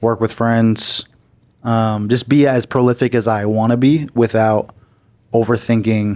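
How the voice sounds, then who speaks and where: A man speaks with an American accent at a medium pitch. His intonation is monotone and flat. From Massachusetts. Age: 30s. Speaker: R&B singer. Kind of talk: interview. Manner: casual.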